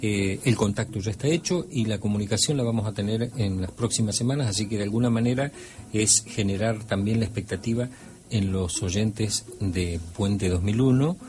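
Music plays in the background as a man talks at a moderate pace. His pitch sits fairly low. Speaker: radio host and ufologist. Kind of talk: radio talk show.

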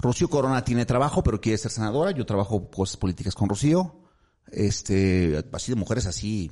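Speaking at a moderate pace, a man with a fairly low voice and a dark, mellow tone uses lively intonation. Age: 50s. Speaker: politician, city councillor. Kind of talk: interview.

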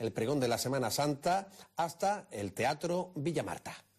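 A man's fairly high voice, an unremarkable speaking voice, carries lively intonation at a medium tempo. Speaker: radio presenter. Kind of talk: broadcast presentation.

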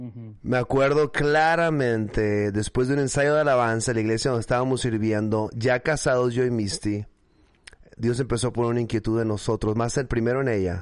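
A man's medium-pitched voice with fairly even intonation, in a northern Mexican accent. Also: fairly quick pace. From northern Mexico, Mexicali, Baja California. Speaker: pastor and church planting network founder. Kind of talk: casual interview. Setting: video call.

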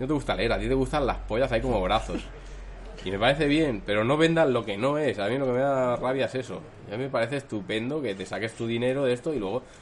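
A man with a medium pitch and ordinary pitch variation speaks very fast. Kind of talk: casual chat. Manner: poor enunciation.

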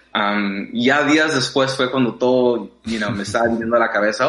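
A man with a medium pitch and ordinary pitch variation keeps a moderate pace, while noticeable background noise carries on behind him. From Mexico, raised in US from age six. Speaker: dancer. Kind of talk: interview. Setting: remote call. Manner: hesitant with many fillers.

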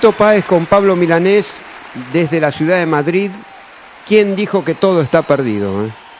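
Over crowd noise, a man talks at a moderate pace in a high voice with lively intonation. Long pauses come often. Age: 50s. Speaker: radio host. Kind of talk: radio show. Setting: studio.

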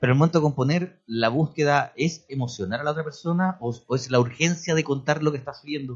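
A somewhat breathy man with a fairly high pitch, a fairly quick pace and ordinary pitch variation. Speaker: radio host. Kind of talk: radio interview; read-out book promo.

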